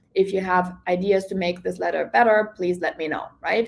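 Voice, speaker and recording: Speaking with a non-native accent, a woman keeps a fairly slow pace, a medium pitch and a fairly even intonation. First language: not English. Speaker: real estate coach. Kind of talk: online class.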